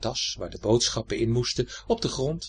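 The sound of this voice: What comes through is an unforced reading voice.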